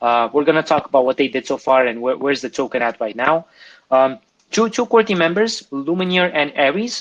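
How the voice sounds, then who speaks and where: A man with a non-native accent, a fairly high pitch, very wide pitch swings and a fairly quick pace, against a quiet background. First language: not English. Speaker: crypto AMA host. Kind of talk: live Q&A presentation. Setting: online audio room. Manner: halting, many fillers and restarts.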